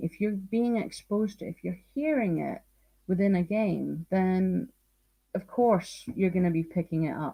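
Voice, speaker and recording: Her medium-pitched voice has a dark, mellow tone, somewhat breathy, with ordinary pitch variation. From northeast Scotland. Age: 40s. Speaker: teacher and language speaker. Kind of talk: interview on live stream.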